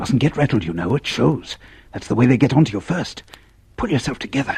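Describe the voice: Using a put-on character voice, a man talks at a fairly quick pace at a medium pitch, with a husky, rough edge, vocal fry, a slightly mellow tone and big pitch swings.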